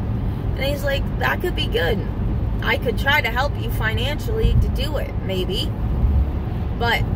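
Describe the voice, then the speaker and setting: A woman talks at a moderate pace. The sound is dry with no echo, but the background noise is loud. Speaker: vlogger. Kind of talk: casual vlog chat. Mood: reflective, candid. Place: car. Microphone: phone near.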